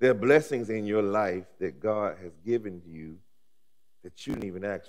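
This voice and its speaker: A man's fairly low pitch, warm tone, ordinary pitch variation and moderate pace, over a quiet background. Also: big swings in loudness. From Alabama, US South. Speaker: pastor. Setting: seminary chapel with audience. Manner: rhythmic, repetitive preaching cadence with rising emphasis; warm, humorous asides with laughter. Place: church. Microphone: headset.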